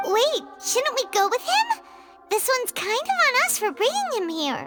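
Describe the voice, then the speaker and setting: Over loud music in the background, someone uses a put-on character voice at an extremely high pitch and a moderate pace. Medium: video game. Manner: chatty, expressive.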